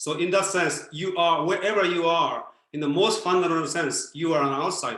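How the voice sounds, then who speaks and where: There is audible room echo around a man speaking at a moderate pace. His voice is high-pitched and bright, sharp in tone, with ordinary pitch variation. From Japan. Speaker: former Buddhist priest, speaker. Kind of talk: Q&A answers in online talk. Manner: halting, many fillers.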